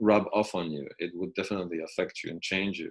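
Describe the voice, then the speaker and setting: A man speaks with a Polish accent. The recording is very clean, with a silent background. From Poland. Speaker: university lecturer. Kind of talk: recorded lecture commentary. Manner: halting, many fillers and restarts.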